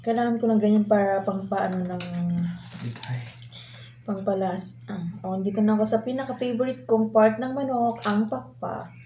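A woman speaks at a moderate pace with lively intonation over light background noise. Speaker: food vlogger. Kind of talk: casual vlog chat. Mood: playful, mock defeated. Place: home room. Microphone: camera far.

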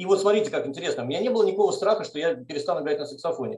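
Audible room echo surrounds a man speaking with lively intonation. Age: 40s. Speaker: mathematics professor. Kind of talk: testimony. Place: kitchen. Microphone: video call.

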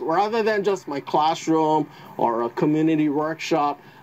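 A man's fairly high voice in a dark, mellow tone at a fairly slow pace. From Hawaii. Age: 60s. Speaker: retired teacher, kite builder. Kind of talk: interview answer. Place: open country. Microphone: lapel.

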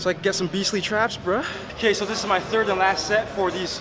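A high-pitched male voice with noticeable background noise. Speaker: fitness vlogger. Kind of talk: casual vlog chat. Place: gym.

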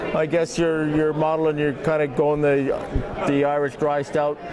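Over noticeable background noise, a man speaks with monotone, flat intonation. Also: moderate pace. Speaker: beer reviewer interviewer. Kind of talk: interview chat. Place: hall. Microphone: handheld.

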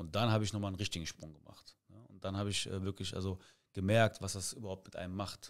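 Over a quiet background, a man talks at a very fast pace in a fairly low pitch with monotone, flat intonation and big swings in loudness. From Cologne area, Germany; Germany. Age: 30s. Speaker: amateur football coach. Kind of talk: casual interview. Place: studio. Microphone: studio mic.

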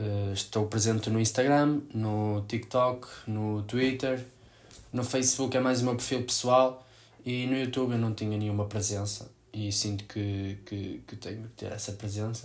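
A man with a European Portuguese accent speaks at a fairly slow pace. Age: 20s. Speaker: sports photographer; new youtuber. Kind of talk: vlog to camera. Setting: home room. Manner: halting. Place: home room. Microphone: camera far.

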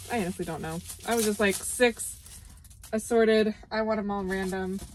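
At a fairly quick pace, a woman speaks in a dry sound with no echo. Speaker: vlogger. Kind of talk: casual vlog chat. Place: car. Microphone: phone near.

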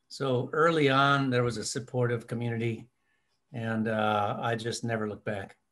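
On a very clean recording with a silent background, a man with an American accent uses an unremarkable speaking voice at medium pitch, moderate pace, and fairly even intonation. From US Midwest, rural Minnesota. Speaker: ornithologist. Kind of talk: interview.

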